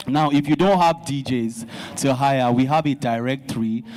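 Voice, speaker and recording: Noticeable background noise sits behind this recording. A man speaks over it at a moderate pace. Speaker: DJ, association representative. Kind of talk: speech at a town hall meeting.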